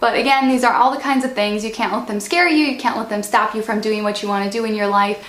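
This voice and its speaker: A woman talks amid noticeable background noise, her voice carrying audible room echo. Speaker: vlogger. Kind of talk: casual vlog talk. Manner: casual, filler-heavy.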